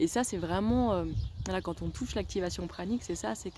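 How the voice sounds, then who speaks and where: A woman talks at a fairly quick pace with noticeable background noise around her. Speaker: wellness vlogger. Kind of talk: video diary. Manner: animated.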